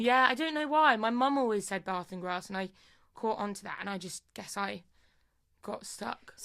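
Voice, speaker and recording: A woman with a Midlands accent, fairly high and bright, sharp in tone, with lively intonation, big swings in loudness and a moderate pace. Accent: mild Midlands English. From Lincolnshire, England.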